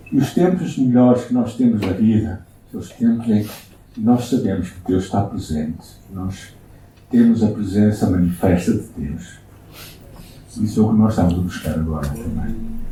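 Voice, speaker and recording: In a European Portuguese accent, a man with a fairly low pitch and ordinary pitch variation talks at a moderate pace with long, frequent pauses amid audible room echo. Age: 60s. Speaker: pastor. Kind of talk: sermon. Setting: church.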